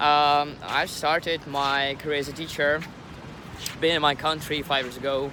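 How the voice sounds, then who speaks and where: A man with a non-native accent speaks at a fairly high pitch in a monotone, flat intonation. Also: moderate pace. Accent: non-native English, pronunciation mistakes. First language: not English. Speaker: English teacher, vlogger. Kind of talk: vlog introduction. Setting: outdoors by the sea. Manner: halting, many fillers.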